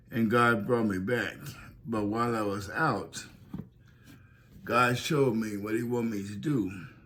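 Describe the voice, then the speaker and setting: Audible room echo surrounds a man speaking at a medium pitch with fairly even intonation. He goes at a fairly slow pace with long, frequent pauses. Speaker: pastor. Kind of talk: testimony. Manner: slightly unusual, slurred-sounding speech.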